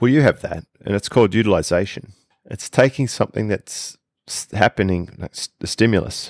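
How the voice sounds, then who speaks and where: Speaking fairly quickly, a man talks in an Australian accent. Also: fairly low pitch for a man, ordinary pitch variation, big swings in loudness. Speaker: podcast co-host, online business coach. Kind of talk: casual chat.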